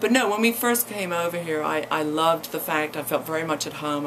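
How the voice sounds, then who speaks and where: A woman with an East Anglian accent and a very deep, low pitch talks at a fairly quick pace over noticeable background noise. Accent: English (East Anglia). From England, East Anglia. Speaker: college president's wife, former actress. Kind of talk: radio interview. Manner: halting, many fillers and repetitions.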